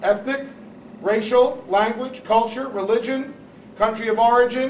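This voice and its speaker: Noticeable background noise, a moderate pace and fairly even intonation. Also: man. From New Jersey, Newark. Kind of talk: panel talk.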